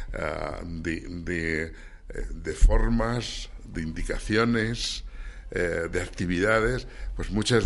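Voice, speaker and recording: Someone speaks at a very slow pace in audible room echo, with music in the background. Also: man. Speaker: science section coordinator and children's author. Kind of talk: radio interview.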